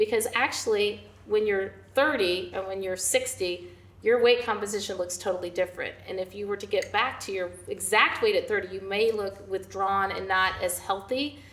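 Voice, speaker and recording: A woman talks at a moderate pace with an ordinary speaking voice. Her medium pitch carries fairly even intonation. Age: 60s. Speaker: nutrition and fitness coach. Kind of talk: casual chat.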